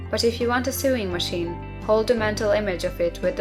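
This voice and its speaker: Music can be heard behind the speaker. She is a woman talking fairly quickly. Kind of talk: audiobook reading.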